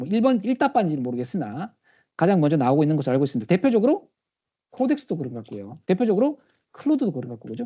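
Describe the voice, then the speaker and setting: A man talks at a very fast pace in a high pitch with very wide swings. His tone is dark and mellow, over a quiet background. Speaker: technical trainer, conference speaker. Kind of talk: conference talk with demo. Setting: live session with audience, also streamed via Teams.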